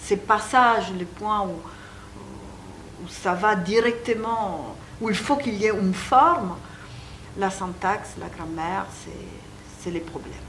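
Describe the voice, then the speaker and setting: In an Italian accent, a woman at a medium pitch speaks at a very slow pace with ordinary pitch variation, big swings in loudness and long, frequent pauses, amid noticeable background noise and audible room echo. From Italy. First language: Italian (speaking French). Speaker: psychoanalyst and author. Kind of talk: interview. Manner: halting.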